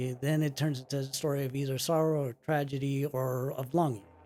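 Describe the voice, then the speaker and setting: A man with a Spanish accent and a dark, mellow tone speaks in a very clean recording over a silent background. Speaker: movie podcast co-host. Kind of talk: casual chat. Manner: halting.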